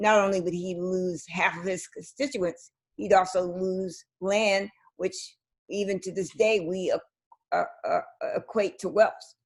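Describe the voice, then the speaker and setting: A woman speaks in an American accent at a moderate pace. She has an unremarkable speaking voice with medium pitch. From US South, South Carolina. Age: 60s. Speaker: interview host. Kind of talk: interview conversation.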